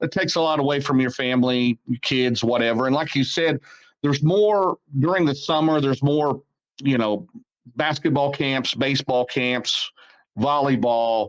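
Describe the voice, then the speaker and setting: Keeping his loudness very even, a man with a plain, everyday voice and a fairly high pitch speaks at a moderate pace with ordinary pitch variation. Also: dry, close sound with no echo. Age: 60s. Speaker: race announcer and series promoter. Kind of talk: interview.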